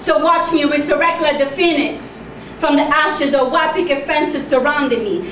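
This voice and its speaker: High-pitched and fairly even in intonation, a woman's voice comes through audible room echo and noticeable background noise. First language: not English. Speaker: slam poet. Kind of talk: spoken word performance. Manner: loud; precise pronunciation.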